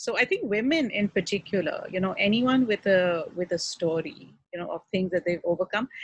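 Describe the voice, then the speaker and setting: Somewhat breathy and at medium pitch, a woman talks at a fairly quick pace with lively intonation and hardly any pauses, in a dry, close sound with no echo. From Pakistan. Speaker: relationship counselor and author. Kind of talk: casual interview chat. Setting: outdoors.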